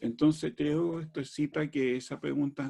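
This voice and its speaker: This man's tone is dark and mellow, and he talks at a fairly slow pace. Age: 70s. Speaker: astrologer and spiritual teacher. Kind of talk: talk to an online audience. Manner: animated, conversational.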